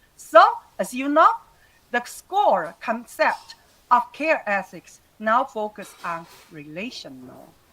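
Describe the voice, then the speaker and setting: A woman with a Taiwanese accent speaks at a very slow pace and a high pitch, with very wide pitch swings, big swings in loudness, and long, frequent pauses. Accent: Taiwanese Mandarin-accented English. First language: Mandarin Chinese. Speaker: retired university lecturer. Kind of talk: webinar lecture. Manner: halting.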